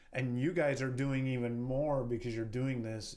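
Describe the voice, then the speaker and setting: There is audible room echo as a man with a western US accent speaks at a medium pitch. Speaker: real estate entrepreneur. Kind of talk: podcast interview.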